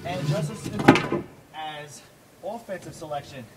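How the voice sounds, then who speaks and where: A man's fairly high voice with a New York accent, set against noticeable background noise. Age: 20s. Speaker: martial arts instructor. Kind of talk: instructional monologue. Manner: fast.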